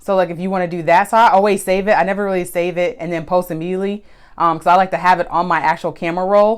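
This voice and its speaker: A woman at medium pitch talking at a very fast pace with monotone, flat intonation. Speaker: photographer and social media tips host. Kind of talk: live stream tutorial. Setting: Instagram live stream. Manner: loud; casual, conversational.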